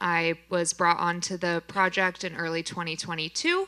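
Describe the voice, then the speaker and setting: Her tone bright and sharp, a woman speaks at a fairly slow pace in a fairly low voice with monotone, flat intonation. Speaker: free grocery store program manager. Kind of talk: panel discussion.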